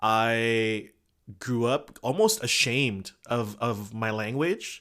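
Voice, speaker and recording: A bright, sharp tone with ordinary pitch variation comes through on a very clean recording with a silent background. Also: man. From Indonesian family, raised in the US from childhood. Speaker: podcast co-host. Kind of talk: casual chat.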